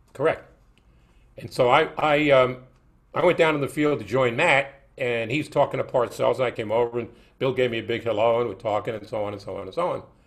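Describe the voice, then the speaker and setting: On a very clean recording with a silent background, a man with a New York accent talks at a fairly quick pace and medium pitch, with ordinary pitch variation and big swings in loudness. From New York, Brooklyn. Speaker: sports broadcaster. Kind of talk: casual interview.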